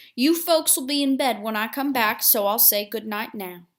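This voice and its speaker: A woman does a put-on character voice, quiet and fairly high in pitch, with lively intonation. She keeps a moderate pace on a very clean recording with a silent background. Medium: read story. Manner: quiet, even, pleasant.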